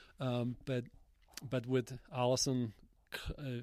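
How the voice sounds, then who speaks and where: A man is speaking. He has a Polish accent. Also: very clean recording, silent background. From Poland, Jelenia Gora. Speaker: cycling team manager. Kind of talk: casual interview. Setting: outdoors on a mountain top.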